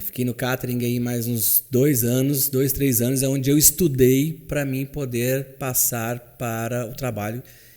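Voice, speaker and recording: A normal speaking voice proceeds at a fairly slow pace. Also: man. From Minas Gerais, Brazil. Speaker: chauffeur. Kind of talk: interview answer.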